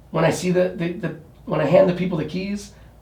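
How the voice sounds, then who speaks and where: A man with an American accent speaks at a high pitch in a dark, mellow tone. Audible room echo surrounds his voice. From New York City. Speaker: real estate agent. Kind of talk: interview. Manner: halting.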